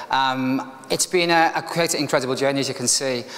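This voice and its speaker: Over noticeable background noise, a man with a Liverpool accent talks at a very fast pace, his fairly high pitch showing ordinary variation. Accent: Liverpool (Scouse). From Liverpool, northern England. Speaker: motivational speaker, restaurant manager. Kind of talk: keynote speech, personal story. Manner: casual, conversational with fillers.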